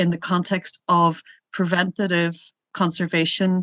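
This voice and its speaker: With a Northern Irish accent, the voice has a bright, sharp tone and monotone, flat intonation, recorded dry and close with no echo in a quiet background. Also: woman. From Northern Ireland, Derry. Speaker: border policy association representative. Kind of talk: workshop Q&A comment. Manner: hesitant, many fillers.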